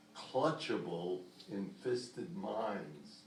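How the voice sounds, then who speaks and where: A man talks at a very slow pace with very wide pitch swings. Noticeable background noise can be heard. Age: 80s+. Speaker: poet. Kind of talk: poetry reading.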